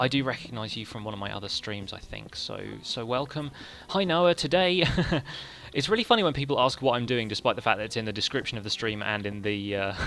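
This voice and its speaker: The speaker talks at a very fast pace in an English accent. The intonation is lively. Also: man, medium pitch for a man. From England. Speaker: gaming streamer. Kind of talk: live stream commentary.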